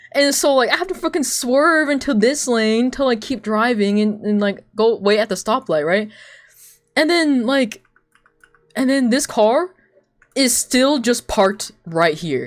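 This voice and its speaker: With a non-native accent, the speaker talks in an animated tone at a fairly slow pace. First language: not English. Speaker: streamer and artist. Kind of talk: casual chat.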